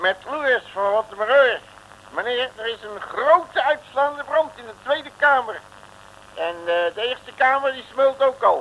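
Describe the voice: A put-on character voice with lively intonation. The delivery comes at a fairly slow pace. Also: man, extremely high pitch for a man.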